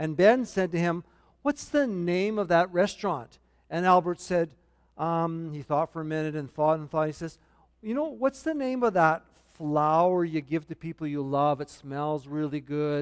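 At a moderate pace, a man with a high voice speaks with ordinary pitch variation. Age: 60s. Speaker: pastor. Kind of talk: sermon. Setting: church. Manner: humorous, self-deprecating.

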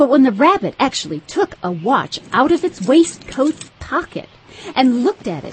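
A woman speaks at a moderate pace in a high, animated voice with very wide pitch swings, over noticeable background noise. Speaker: audiobook narrator. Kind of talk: dramatic audiobook narration, storybook reading. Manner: expressive, storytelling pace, animated.

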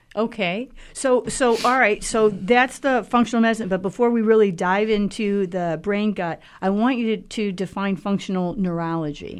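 A woman talks in a plain, everyday voice at medium pitch and a moderate pace. Her pitch varies in an ordinary way, and the background is quiet. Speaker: radio host. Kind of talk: radio interview. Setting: studio.

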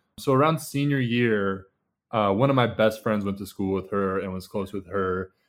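At a moderate pace, a man uses a normal speaking voice, fairly low in pitch with ordinary pitch variation. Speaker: former college basketball player. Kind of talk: casual chat.

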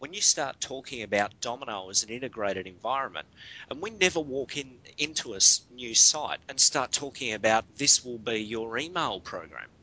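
With an Australian accent, a man speaks at a medium pitch and a moderate pace, his intonation lively. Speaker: guest co-host. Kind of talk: casual chat. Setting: remote call, early morning.

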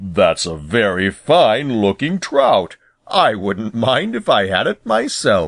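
A man uses a put-on character voice that is rumbling, at a medium pitch. He speaks at a fairly slow pace. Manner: gruff, teasing.

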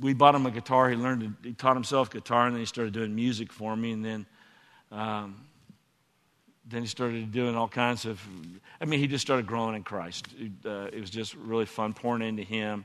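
A man with an unremarkable speaking voice of medium pitch talks at a fairly quick pace in an American accent, his intonation fairly even. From Texas. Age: 60s. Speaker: former church elder. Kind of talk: onstage interview. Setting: church stage with audience.

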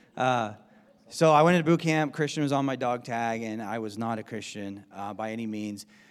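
On a very clean recording with a silent background, a man in an unremarkable speaking voice talks fairly quickly at a medium pitch, with ordinary pitch variation and big swings in loudness. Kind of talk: testimony, personal conversion story told in a casual tone. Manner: casual, wry, with laughs.

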